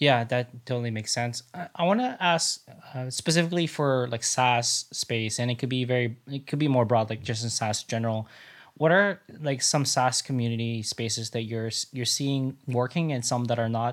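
On a very clean recording with a silent background, a man speaks in a plain, everyday voice at medium pitch, moderate pace, and ordinary pitch variation. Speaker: podcast host. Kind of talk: interview.

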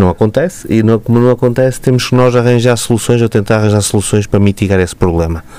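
Speaking very fast with hardly any pauses, a man uses a dark, mellow tone and ordinary pitch variation. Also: medium pitch for a man, very even loudness. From Matosinhos area, northern Portugal. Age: 40s. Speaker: local politician. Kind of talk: radio interview. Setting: radio studio.

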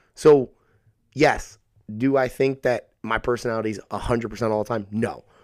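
A man's normal speaking voice, medium in pitch, at a moderate pace. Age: 30s. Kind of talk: casual chat.

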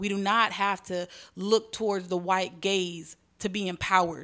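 A woman's medium-pitched voice in a very clean recording with a silent background. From Houston, Texas (Southwest, Alief area). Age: 30s. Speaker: gift shop owner and entrepreneur. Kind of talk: casual chat.

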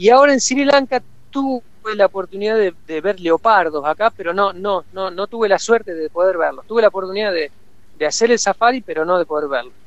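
A man's high voice at a fairly quick pace, full of lively intonation. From Argentina, Córdoba. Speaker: photographer. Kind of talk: interview.

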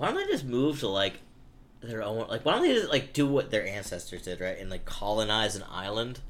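Over noticeable background noise, a man with an American accent talks at a fairly quick pace, his medium pitch showing ordinary variation. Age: 30s. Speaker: comedian. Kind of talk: casual chat.

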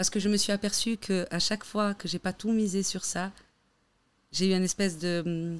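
On a very clean recording with a silent background, the speaker talks at a moderate pace in a monotone, flat intonation. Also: woman, medium pitch for a woman. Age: 30s. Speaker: stylist. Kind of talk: casual chat.

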